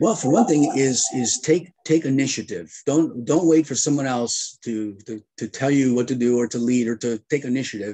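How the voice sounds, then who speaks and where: With hardly any pauses, the voice has a dark, mellow tone and ordinary pitch variation against a quiet background. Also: man, moderate pace. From United States. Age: 60s. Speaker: retired air force colonel and leadership lecturer; interview guest. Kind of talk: interview. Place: home room. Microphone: video call.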